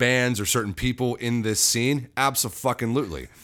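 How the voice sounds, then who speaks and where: Pitch varies in an ordinary way as a man talks in an unremarkable speaking voice pitched in the mid range. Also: very clean recording, silent background. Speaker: band singer and musician. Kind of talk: casual interview chat. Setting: studio, in person. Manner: joking, self-deprecating.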